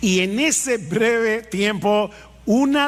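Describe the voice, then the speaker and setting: Noticeable background noise and audible room echo surround a man whose pitch varies in an ordinary way. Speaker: pastor. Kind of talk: sermon.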